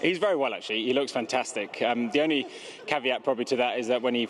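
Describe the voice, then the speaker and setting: A man speaks very fast at medium pitch. Noticeable background noise runs underneath. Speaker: racehorse trainer. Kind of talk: interview.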